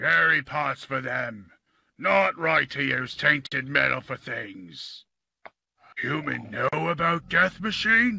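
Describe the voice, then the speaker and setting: A man puts on a character voice, talking fairly slowly at a fairly high pitch. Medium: voice reel. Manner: broken, simple speech.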